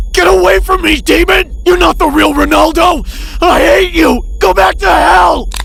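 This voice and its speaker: Shouting in a put-on character voice at an extremely high pitch, a man speaks at a moderate pace over clear background noise. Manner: frightened, desperate.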